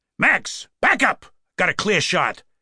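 A man's slow, put-on character voice, bright and sharp in tone with a slightly husky edge, on a very clean recording with a silent background. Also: high pitch for a man, big pitch swings.

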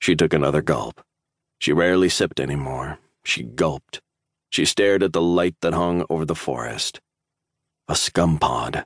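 In a dry, close recording with no echo, a man with a very deep, low pitch and vocal fry talks at a moderate pace with ordinary pitch variation and long, frequent pauses. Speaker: audiobook narrator. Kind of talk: dramatic audiobook narration of sci-fi military fiction. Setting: studio recording. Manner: tense, suspenseful, building dread, with urgent bursts in the flashback.

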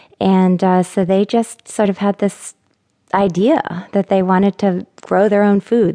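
A woman's dark, mellow voice at a medium pitch, with monotone, flat intonation, a moderate pace and a dry, close sound with no echo. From Maine. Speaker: memoirist. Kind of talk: memoir retelling. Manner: reflective; conversational.

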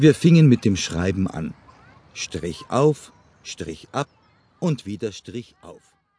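A man speaks very slowly at a fairly low pitch, his voice somewhat breathy. Pitch swings very widely, and the sound is dry and close with no echo. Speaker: audiobook narrator. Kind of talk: first-person memoir read aloud, recalling a rural childhood. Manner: calm, unhurried storytelling with plain, matter-of-fact detail; gently nostalgic, reflective tone.

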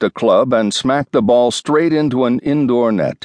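A man's dramatic, animated voice at a medium pitch and a moderate pace. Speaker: audiobook narrator. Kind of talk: audiobook narration, scripted nonfiction. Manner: dramatic, storytelling tone with vivid, animated pacing.

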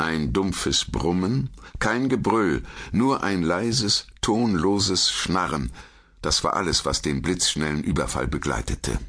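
A man speaks very slowly in a very deep, low voice with vocal fry, very wide pitch swings and very even loudness. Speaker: audiobook narrator. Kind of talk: dramatic audiobook narration of a dark fantasy story, read aloud. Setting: studio. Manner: hushed, suspenseful, slow and atmospheric pacing.

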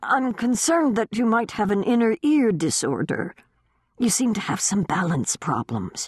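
This is a put-on character voice at a fairly high pitch. The pace is moderate. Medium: read story. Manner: measured, gentle, courteous.

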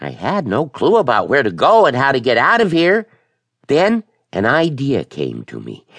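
Against a quiet background, a man's voice, with vocal fry and very wide pitch swings, comes through dry and close with no echo. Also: fairly high pitch for a man, moderate pace. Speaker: audiobook narrator. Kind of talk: dramatic first-person audiobook narration of a children's horror story. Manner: tense, breathless storytelling building suspense through a chase; voices characters, shouting and snarling for the monster.

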